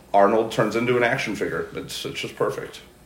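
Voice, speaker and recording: An American accent comes from a man recorded with audible room echo. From St. Louis, Missouri. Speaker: podcast guest. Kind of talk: casual chat. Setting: studio.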